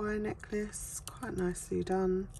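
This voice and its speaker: Someone with a British accent speaks at a very slow pace over noticeable background noise. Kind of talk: casual sorting commentary.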